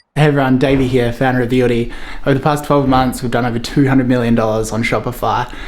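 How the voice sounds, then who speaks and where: A man's very fast, monotone, flat delivery at a medium pitch, with audible room echo. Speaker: entrepreneur vlogger. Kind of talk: vlog tutorial.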